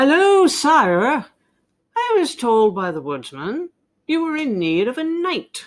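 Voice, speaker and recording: A woman's put-on character voice, high-pitched and fairly slow, with very wide swings in pitch. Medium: read story.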